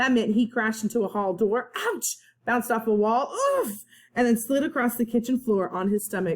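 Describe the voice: Plain read-aloud delivery, pitch varying in an ordinary way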